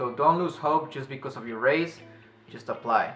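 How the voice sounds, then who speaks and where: A man with a non-native accent speaks over music in the background. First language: non-native English speaker. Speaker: English teacher in Japan. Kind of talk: casual advice talk to camera.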